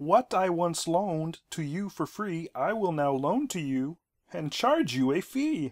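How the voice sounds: A man's put-on character voice, high-pitched and fairly slow, on a very clean recording with a silent background.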